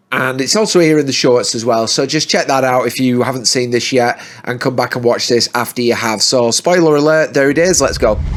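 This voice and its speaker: There is noticeable background noise behind a man's voice. He has a medium pitch and talks at a fairly quick pace. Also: ordinary pitch variation. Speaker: movie reviewer. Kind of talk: movie review monologue.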